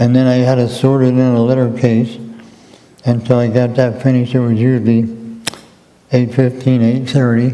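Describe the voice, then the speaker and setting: Amid audible room echo and noticeable background noise, a man with an American accent speaks in a flat monotone at a very even loudness, with long, frequent pauses. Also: medium pitch for a man, moderate pace. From southeastern Pennsylvania, US. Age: 80s+. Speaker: retired mail carrier. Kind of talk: interview.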